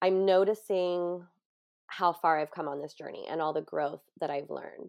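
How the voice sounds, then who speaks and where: Against a quiet background, a woman with a Californian accent speaks in a fairly low pitch. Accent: Californian American. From US West Coast (San Diego). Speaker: grief coach and yoga teacher. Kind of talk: interview.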